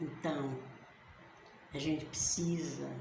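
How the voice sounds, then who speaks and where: Over noticeable background noise and audible room echo, a woman speaks very slowly in a very deep, low voice. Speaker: bible teacher. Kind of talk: bible study talk. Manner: halting, pausing for words.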